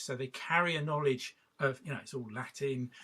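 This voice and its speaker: A man's bright, sharp voice at medium pitch, with a southern English accent, ordinary pitch variation and a moderate pace. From southwest England. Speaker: artist and walking practitioner. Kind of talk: workshop talk. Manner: halting, many fillers.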